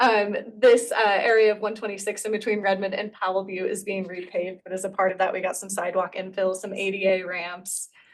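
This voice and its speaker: Fairly quick, medium-pitched female speech with hardly any pauses, monotone, flat intonation and big swings in loudness. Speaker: city staff presenter. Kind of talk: presentation to committee. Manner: fast.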